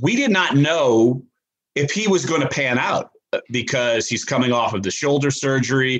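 This man's voice sits at a medium pitch. Its rise and fall is ordinary. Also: moderate pace. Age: 40s. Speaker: sports columnist. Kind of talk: casual interview. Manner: hesitant fillers.

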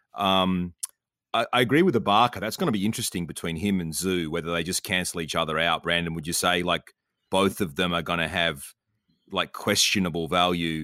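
This man has a very deep, low voice and an Australian accent, with a bright, sharp tone. His intonation stays fairly even, and the recording is very clean with a silent background. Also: fairly quick pace. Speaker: fantasy basketball podcast co-host. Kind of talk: casual chat.

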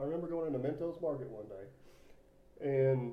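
This is an ordinary speaking voice with ordinary pitch variation. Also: man. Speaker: podcast host. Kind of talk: casual chat.

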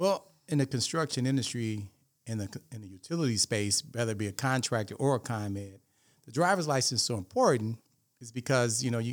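A man speaks at a medium pitch and a very fast pace, with ordinary pitch variation and big swings in loudness, on a very clean recording with a silent background. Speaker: retired utility lobbyist and consultant. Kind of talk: panel discussion.

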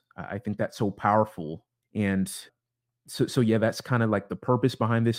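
A man with a US West Coast accent speaks at a moderate pace in a fairly low voice, on a very clean recording with a silent background. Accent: US West Coast American. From US Pacific Northwest, Seattle suburbs (Bellevue, Issaquah). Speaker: podcast host. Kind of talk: solo podcast introduction monologue. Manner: halting, many repeated words and fillers.

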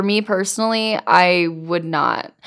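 A woman speaks at medium pitch. Her tone is animated. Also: very clean recording, silent background. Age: 30s. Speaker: podcast co-host, parent. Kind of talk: casual chat. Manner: animated, laughing often.

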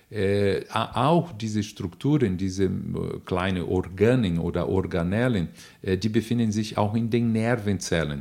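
A man's fairly low voice at a fairly slow pace, with ordinary pitch variation, on a very clean recording with a silent background. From Brazil. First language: Portuguese (speaking German). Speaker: neuroanatomist and nutrition expert, professor. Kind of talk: interview answers, explanatory. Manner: hesitant with fillers.

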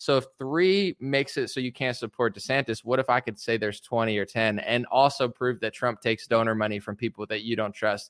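A man with an American accent speaks in an unremarkable speaking voice at a fairly quick pace with hardly any pauses. The recording is very clean, with a silent background and a dry, close sound with no echo. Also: medium pitch for a man, ordinary pitch variation. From United States. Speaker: rapper and political commentator. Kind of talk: casual interview chat.

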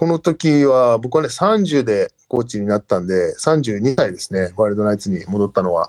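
A man with a normal speaking voice talks at a medium pitch and a moderate pace, with hardly any pauses. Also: lively intonation, dry, close sound with no echo. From Japan (grew up in Japan from age 3, teens in Canada). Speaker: rugby assistant coach. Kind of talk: interview.

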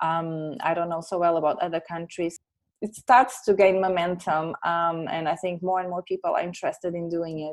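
A woman speaks with a Portuguese accent against a quiet background. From Portugal. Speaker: science communicator. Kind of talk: interview.

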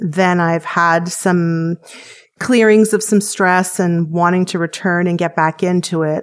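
A woman with a Canadian accent and a normal speaking voice talks at a fairly slow pace, her pitch fairly low. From Canada. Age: 40s. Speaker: weight-loss program patient. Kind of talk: interview testimony.

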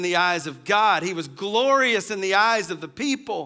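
Bright and sharp in tone, a man's raised, projected voice sits at a high pitch with lively intonation, on a very clean recording with a silent background. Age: 40s. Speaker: pastor. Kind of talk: sermon.

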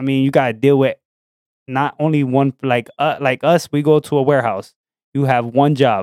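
A man uses an ordinary speaking voice with a fairly high pitch at a moderate pace. His intonation is fairly even, and the sound is dry and close with no echo. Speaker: podcast co-host. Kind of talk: casual chat.

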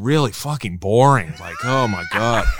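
An American accent from a man, recorded very cleanly against a silent background. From San Diego, California. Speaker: drummer and podcaster. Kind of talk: casual chat.

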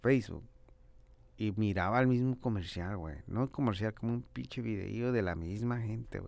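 Here a man speaks with fairly low pitch at a moderate pace. His intonation is lively. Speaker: podcast host and rapper. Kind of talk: casual monologue. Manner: animated, slangy.

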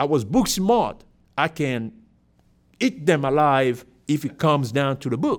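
Fairly slow speech with long, frequent pauses, in a Cameroonian accent. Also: man, fairly high pitch for a man. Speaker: airline pilot. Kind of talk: casual interview.

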